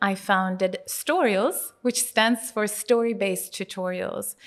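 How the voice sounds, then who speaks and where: A woman with a Swedish accent at a fairly slow pace, ordinary pitch variation, on a very clean recording with a silent background. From Sweden. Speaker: tech entrepreneur. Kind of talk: interview.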